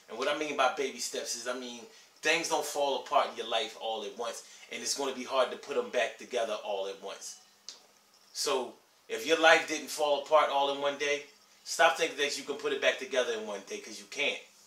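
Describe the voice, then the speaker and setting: Talking at a fairly quick pace in a room with audible echo, a man shows big swings in loudness and ordinary pitch variation. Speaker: vlogger giving life advice. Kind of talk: casual vlog chat. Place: home room. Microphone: camera far.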